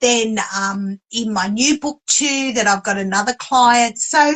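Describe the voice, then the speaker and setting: With an Australian accent, a woman speaks at a fairly slow pace in a fairly high voice with a bright, sharp tone. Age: 60s. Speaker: author and publisher. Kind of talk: interview.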